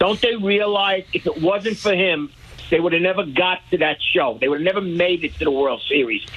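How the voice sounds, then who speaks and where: A man with an American accent talks at a fairly quick pace, his pitch high with ordinary variation. Noticeable background noise runs underneath. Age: 70s. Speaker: caller, lifelong baseball fan. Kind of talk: call-in radio. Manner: halting.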